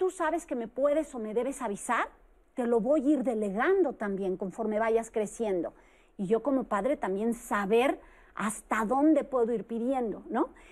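A woman speaks at a high pitch with a Mexican accent. Her delivery is fairly slow, with lively intonation. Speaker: psychologist. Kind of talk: panel discussion. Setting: studio.

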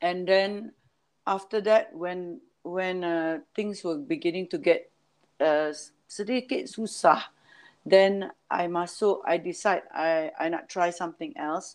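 This woman talks very slowly. She has a medium pitch that varies in an ordinary way. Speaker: event manager and music producer. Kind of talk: casual interview.

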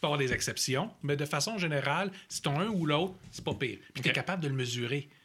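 With a Quebec accent, a man speaks in a fairly high, bright and sharp voice that swings very widely in pitch. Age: 40s. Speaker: agile coach. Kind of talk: casual chat.

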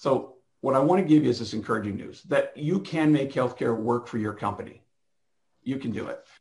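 Fairly quick, somewhat breathy delivery from a man at medium pitch. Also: ordinary pitch variation. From Canada, Toronto. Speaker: physician and healthcare company co-founder. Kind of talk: conference keynote presentation.

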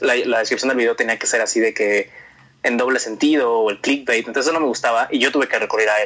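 A man's voice of medium pitch carries a bright, sharp tone. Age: 20s. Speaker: singer and former youtuber. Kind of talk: casual interview. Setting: call over the internet.

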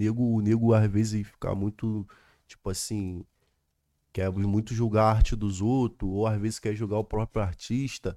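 Against a silent background on a very clean recording, a man with a dark, mellow tone speaks in a flat monotone at a moderate pace. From Rio de Janeiro, Brazil. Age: 20s. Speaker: drill rapper. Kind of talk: casual chat.

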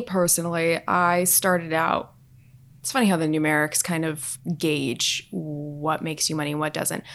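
A woman with a normal speaking voice, fairly low in pitch, with an American accent, at a moderate pace, on a very clean recording with a silent background. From Southern California. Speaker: fashion influencer. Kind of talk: casual chat.

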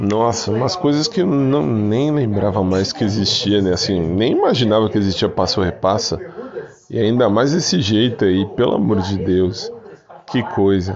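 An ordinary speaking voice with lively intonation moves at a fairly slow pace, its loudness very even throughout. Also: man, fairly low pitch for a man. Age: 40s. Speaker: podcaster. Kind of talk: casual monologue.

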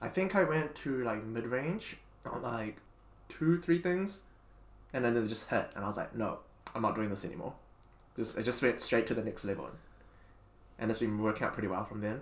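Talking at a fairly quick pace, a man with a medium-pitched voice leaves long, frequent pauses. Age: 20s. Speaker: podcast host. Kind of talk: casual chat.

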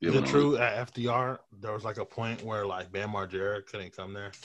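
Speaking in an ordinary speaking voice with an American accent, a man has a fairly low pitch and ordinary pitch variation. He keeps a moderate pace, with big swings in loudness. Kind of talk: casual, slangy.

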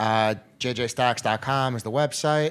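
Pitch varies in an ordinary way. It is an ordinary speaking voice. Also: man. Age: 40s. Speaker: restaurant owner. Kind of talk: casual chat.

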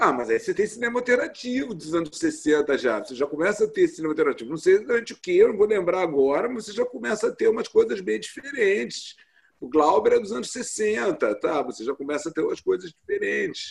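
Hardly pausing at all, a man moves through his words at a fairly quick pace. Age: 50s. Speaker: translator and editor. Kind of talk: interview. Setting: video call.

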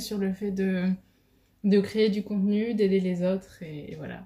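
Here is a woman with an unremarkable speaking voice and medium pitch. She talks at a fairly slow pace with fairly even intonation. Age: 20s. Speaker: podcast host. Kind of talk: casual monologue. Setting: at home on video.

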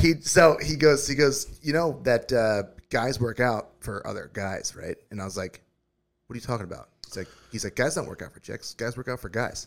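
At a moderate pace, a man speaks with lively intonation. He has a medium pitch and an ordinary speaking voice. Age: 30s. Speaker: podcast co-host. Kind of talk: casual chat.

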